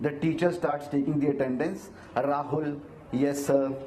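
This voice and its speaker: A man talks at a moderate pace with an Indian accent. Audible room echo and noticeable background noise are present. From India, Himachal Pradesh village. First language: Hindi. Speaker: actor, model and motivational speaker. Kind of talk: interview on stage. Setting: stage with audience at event. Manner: hesitant, frequent fillers.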